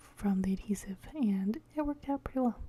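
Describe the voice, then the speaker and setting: A soft-spoken woman talks at medium pitch. Her intonation stays fairly even. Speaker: bible journaling crafter. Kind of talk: crafting tutorial voiceover. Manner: hesitant, many fillers.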